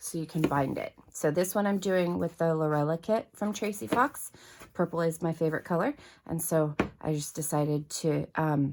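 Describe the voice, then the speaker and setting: This woman talks at a moderate pace with a fairly low pitch and ordinary pitch variation. The recording is very clean, with a silent background. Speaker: paper craft youtuber. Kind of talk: tutorial. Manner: hesitant, many fillers.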